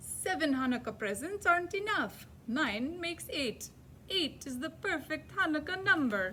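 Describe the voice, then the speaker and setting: Over clear background noise, a woman uses a put-on character voice, high in pitch, at a moderate pace. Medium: read story. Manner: precise, emphatic counting.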